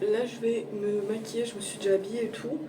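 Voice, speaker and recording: Noticeable background noise and audible room echo around a woman's fairly high voice. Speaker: book vlogger. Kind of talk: casual vlog. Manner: casual, hesitant with fillers.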